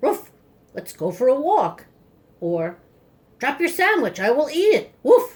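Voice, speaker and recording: A woman's high-pitched, put-on character voice with very wide pitch swings, a fairly slow pace, and long, frequent pauses. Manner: funny, playful.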